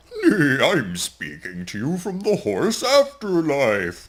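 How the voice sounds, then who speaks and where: A put-on character voice at middle pitch and a very slow pace. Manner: playful, pretend.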